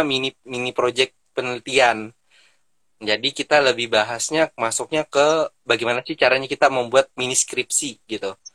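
Dry and close with no echo, a man talks at a fairly quick pace with a medium pitch, ordinary pitch variation and a bright, sharp tone. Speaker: public health student. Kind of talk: casual panel talk in an online live session. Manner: hesitant, many fillers.

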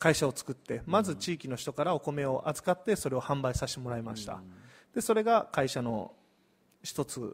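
In a very clean recording with a silent background, a man speaks at a fairly quick pace, somewhat breathy and fairly high in pitch. His voice moves through very wide pitch swings. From Osaka, Hirakata (Kansai). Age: 30s. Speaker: community business owner. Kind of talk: live-stream interview.

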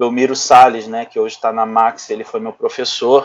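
A man talks in a plain, everyday voice. His pitch is fairly high and his pace fairly slow. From Brazil, Rio de Janeiro. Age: 30s. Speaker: bodybuilding coach. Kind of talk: casual chat.

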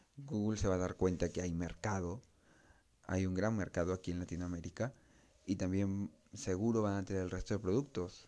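At a moderate pace and with fairly even intonation, a speaker with a Peruvian accent has a dark, mellow tone in a very clean recording with a silent background. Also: man. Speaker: tech podcast host. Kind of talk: solo tech podcast monologue. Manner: casual, with frequent fillers.

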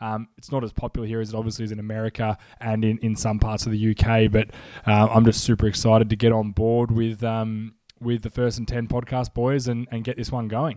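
A man's medium-pitched, dark, mellow voice, monotone and flat, at a fairly quick pace on a very clean recording with a silent background. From Australia, Melbourne. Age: 30s. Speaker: podcast host. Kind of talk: casual chat.

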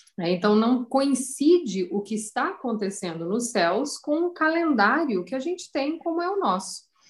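At a moderate pace with hardly any pauses, a woman speaks in a high voice that swings very widely in pitch. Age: 40s. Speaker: astrologer. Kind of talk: interview.

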